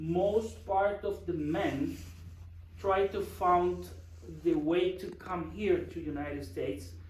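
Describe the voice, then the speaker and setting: A man talks at a very slow pace with a Guatemalan accent. Room echo is audible. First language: Spanish. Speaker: project manager. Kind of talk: presentation. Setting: church forum with audience. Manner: halting.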